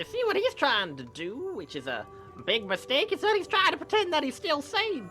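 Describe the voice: With faint music behind her, a woman puts on a character voice that is high, bright and sharp, swinging very widely in pitch. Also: moderate pace.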